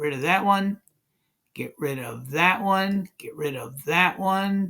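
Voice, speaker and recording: At a very slow pace, a man with a high pitch and a bright, sharp tone uses lively intonation and big swings in loudness. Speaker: math and physics teacher. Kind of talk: whiteboard tutorial. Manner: slow, deliberate.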